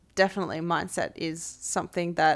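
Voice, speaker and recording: A woman with an Australian accent, fairly low pitch, and fairly even intonation. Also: very clean recording, silent background. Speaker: fitness coach and podcast host. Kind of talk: casual interview chat. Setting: one shared mic, in person.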